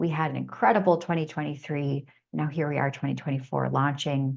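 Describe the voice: A woman's low-pitched, raspy voice with vocal fry, a slightly husky edge and a slightly mellow tone, at a fairly quick pace with fairly even intonation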